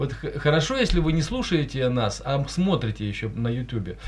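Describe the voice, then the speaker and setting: This man's voice comes across as somewhat breathy. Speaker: radio host, journalist. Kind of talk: live radio talk show. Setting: studio.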